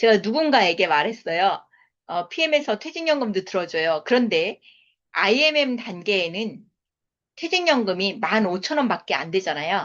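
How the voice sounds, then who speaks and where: The pitch makes very wide swings. The pace is moderate. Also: woman, medium pitch for a woman. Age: 50s. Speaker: network marketing business lecturer. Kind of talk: sales seminar lecture.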